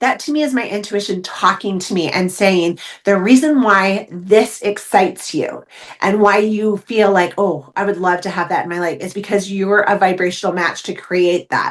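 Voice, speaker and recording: Animated in tone, a woman talks at a moderate pace with a medium pitch and ordinary pitch variation. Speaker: intuition coach and medium. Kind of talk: casual interview chat. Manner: loud.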